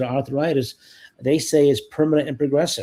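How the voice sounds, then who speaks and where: Intonation remains fairly even. The tone comes across dark and mellow. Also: man. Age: 60s. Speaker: co-host, Navy diving veteran. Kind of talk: casual chat. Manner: halting.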